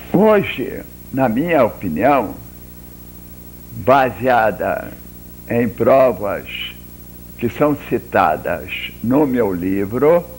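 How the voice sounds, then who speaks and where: Long, frequent pauses break up a man's speech, delivered at a very slow pace. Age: 80s+. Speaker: local historian and author. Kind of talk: interview.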